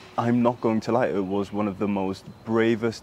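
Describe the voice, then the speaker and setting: Fairly slow, fairly low-pitched male speech with ordinary pitch variation and noticeable background noise. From Sudan, raised in diaspora. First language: Arabic. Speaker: human rights activist. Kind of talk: interview. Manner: hesitant, many fillers.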